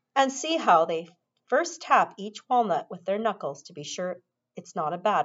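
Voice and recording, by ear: Against a quiet background, the speaker reads aloud in a natural voice with lively intonation.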